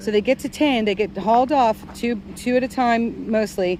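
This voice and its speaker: Noticeable background noise sits under a woman speaking with fairly even intonation. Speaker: livestreamer. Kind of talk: casual chat. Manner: loud; halting.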